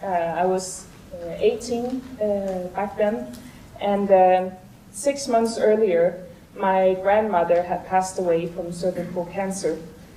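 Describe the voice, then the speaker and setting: Noticeable background noise and audible room echo surround the recording. A woman speaks with fairly even intonation. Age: 30s. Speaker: vaccine trial participant. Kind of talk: conference talk. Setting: stage with audience. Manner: halting.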